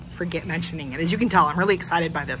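Fairly low in pitch with vocal fry, a woman talks with ordinary pitch variation over light background noise. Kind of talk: casual vlog chat. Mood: happy, excited. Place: cafe. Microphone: phone near.

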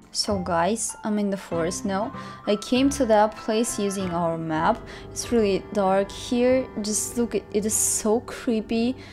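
A woman talks at a fairly slow pace. Clear music sounds behind her. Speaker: vlogger. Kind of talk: casual vlog chat. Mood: scared, tense.

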